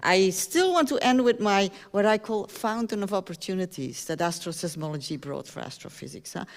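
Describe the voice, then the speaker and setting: A woman speaks at medium pitch with lively intonation and big swings in loudness. Her fairly quick delivery has hardly any pauses. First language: not English (English is third language). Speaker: astronomy professor. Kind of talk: public lecture. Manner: animated.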